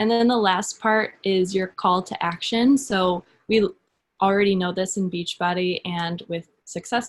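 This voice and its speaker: Fairly slow and somewhat breathy, a woman speaks at a medium pitch with fairly even intonation. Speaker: social media coach, fitness business coach. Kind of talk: webinar presentation.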